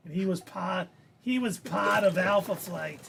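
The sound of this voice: This is a put-on character voice, raspy, with a Boston accent. It moves at a moderate pace. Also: man, high pitch for a man.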